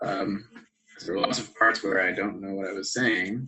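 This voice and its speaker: Here a man talks at a fairly quick pace. His voice sits fairly low. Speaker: math instructor. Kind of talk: lecture. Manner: loud. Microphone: poor audio pickup from setup.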